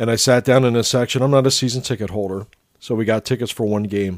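This man speaks at a medium pitch with ordinary pitch variation and an American accent, in a plain, everyday voice. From Lancaster County, Pennsylvania. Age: 50s. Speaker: podcast host. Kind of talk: casual chat.

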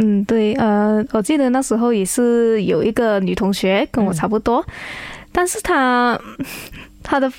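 In a very clean recording with a silent background, a woman with a fairly high pitch and an unremarkable speaking voice talks at a moderate pace with ordinary pitch variation. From Malaysia, Kuantan, Pahang. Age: 20s. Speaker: beauty pageant contestant. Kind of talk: radio interview.

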